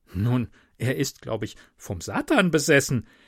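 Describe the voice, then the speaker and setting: Here a man speaks with vocal fry at a fairly slow pace and a medium pitch, his pitch swinging very widely. The sound is dry and close with no echo, on a very clean recording with a silent background. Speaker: podcaster. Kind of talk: reading aloud.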